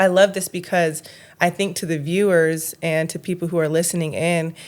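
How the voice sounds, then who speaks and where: A woman's fairly low voice with monotone, flat intonation. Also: moderate pace. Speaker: podcast co-host. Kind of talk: casual interview chat. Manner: halting, stumbling over words.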